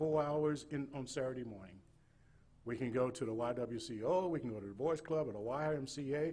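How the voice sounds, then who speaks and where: This man has a Southern US accent and a dark, mellow, somewhat breathy voice. Audible echo from the room surrounds him. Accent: Southern US (Georgia). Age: 60s. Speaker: state missionary. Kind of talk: sermon. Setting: church. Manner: halting, repetitive.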